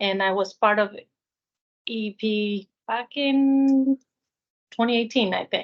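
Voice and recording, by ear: A woman with a medium pitch speaks slowly and with fairly even intonation.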